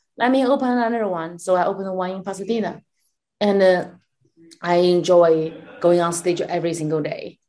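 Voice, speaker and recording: The pace is fairly quick yet broken by long, frequent pauses. The voice has a dark, mellow tone and ordinary pitch variation. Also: woman, medium pitch for a woman. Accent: Chinese. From China. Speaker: comedian and comedy club owner. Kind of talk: casual interview. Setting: video call. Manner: animated.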